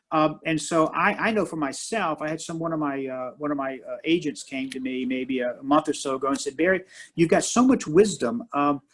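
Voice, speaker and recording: Here a man has an ordinary speaking voice, pitched fairly high, with lively intonation. He moves at a fairly quick pace with hardly any pauses. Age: 60s. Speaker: martial arts master and minister. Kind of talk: interview conversation.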